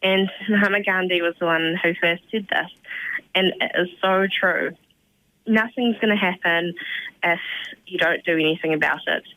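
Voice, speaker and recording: Speaking with a New Zealand accent, a woman of medium pitch keeps fairly even intonation and very even loudness at a moderate pace, with long, frequent pauses. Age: young. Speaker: community volunteer. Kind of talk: radio interview.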